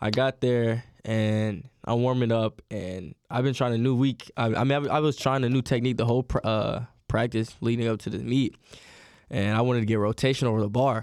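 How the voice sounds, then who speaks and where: An ordinary speaking voice from a man, medium-pitched with fairly even intonation, at a fairly quick pace, dry and close with no echo on a very clean recording with a silent background. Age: 20s. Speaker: college track athlete. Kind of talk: casual chat.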